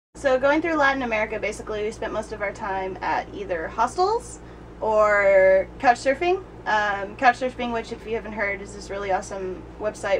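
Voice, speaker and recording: Noticeable background noise sits behind a woman whose loudness swings widely. She talks at a fairly quick pace and a medium pitch, with ordinary pitch variation. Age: 20s. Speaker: travel blogger. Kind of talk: casual interview.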